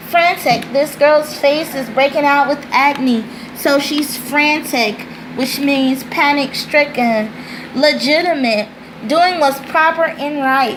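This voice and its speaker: Speaking very slowly with fairly even intonation, a woman with a high pitch is heard over noticeable background noise and audible room echo. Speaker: tutor and teacher. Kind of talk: tutorial. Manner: deliberate.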